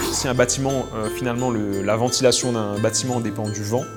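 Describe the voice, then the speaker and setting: At a moderate pace and medium pitch, a man talks with music in the background. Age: 20s. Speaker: PhD student in fire safety engineering. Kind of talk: interview answer.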